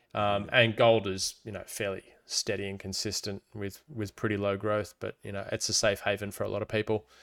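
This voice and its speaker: Speaking fairly quickly with hardly any pauses, a man with an Australian accent keeps a fairly low pitch and a flat, monotone delivery on a very clean recording with a silent background. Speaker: crypto podcast co-host. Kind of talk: casual chat.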